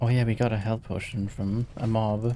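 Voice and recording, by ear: A man speaks at a fairly low pitch with little pitch movement. His tone is dark and mellow.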